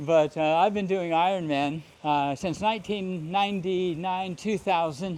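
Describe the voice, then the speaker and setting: With hardly any pauses, a man talks at a fairly slow pace in a high pitch and fairly even intonation. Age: 70s. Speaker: veteran endurance triathlete. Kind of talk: interview. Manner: halting.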